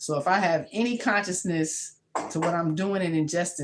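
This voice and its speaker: The speaker sounds animated, talking at a moderate pace with ordinary pitch variation. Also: woman. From New York, Brooklyn. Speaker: home cook and health vlogger. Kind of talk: casual vlog chat. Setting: home kitchen.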